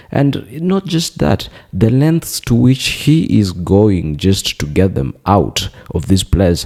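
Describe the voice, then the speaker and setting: The pitch swings very widely at a fairly slow pace, over noticeable background noise. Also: man. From Kenya. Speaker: political commentator. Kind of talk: opinion commentary. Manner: hesitant, many fillers.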